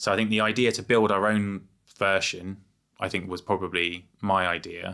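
On a very clean recording with a silent background, a man talks at a moderate pace with an English accent. His fairly low voice has a bright, sharp tone and monotone, flat intonation. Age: 40s. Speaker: entrepreneur. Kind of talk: casual chat. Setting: studio.

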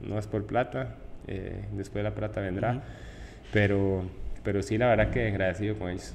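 A man with a fairly low pitch and vocal fry speaks at a moderate pace, with audible room echo. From Costa Rica (Tibás, San José). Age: 20s. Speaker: professional footballer. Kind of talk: interview. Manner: halting.

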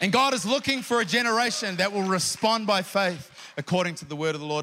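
In a New Zealand accent, a man speaks at a fairly quick pace in an animated tone with ordinary pitch variation, amid noticeable background noise and audible room echo. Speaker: preacher. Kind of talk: sermon.

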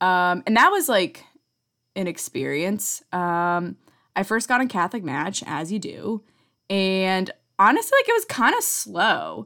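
Against a silent background in a very clean recording, a woman talks at a fairly slow pace. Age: 30s. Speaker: podcast host. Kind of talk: casual monologue. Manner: casual, filler-heavy.

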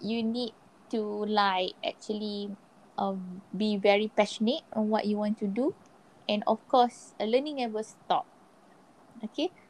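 A woman with a fairly high pitch speaks at a very slow pace, with long, frequent pauses and ordinary pitch variation. The sound is dry and close, with no echo. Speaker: marketer and former audiologist. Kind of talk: casual interview. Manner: normal pace today.

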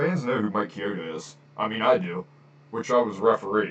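Delivered at a fairly quick pace, a normal speaking voice carries lively intonation. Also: man. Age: 30s. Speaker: wrestling podcaster. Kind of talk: casual solo podcast. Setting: home recording, on camera. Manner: casual, filler-heavy.

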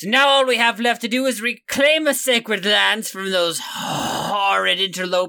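In a put-on character voice, the speaker uses a fairly high pitch at a moderate pace. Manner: haughty, impatient, commanding.

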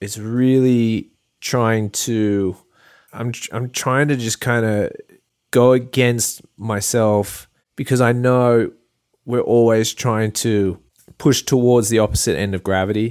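On a very clean recording with a silent background, a man speaks with an Australian accent at medium pitch. His intonation is fairly even and his pace very slow. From Australia, Port Macquarie NSW. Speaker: artist and photographer. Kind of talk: casual interview chat.

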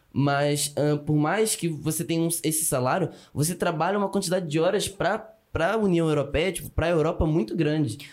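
Delivered fairly quickly in a plain, everyday voice, the speech holds a very even loudness and ordinary pitch variation. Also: man, fairly high pitch for a man. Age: 20s. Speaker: student immigrant. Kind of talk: casual chat.

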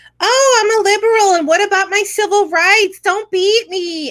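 An extremely high, squeaky put-on character voice at a moderate pace. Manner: mocking.

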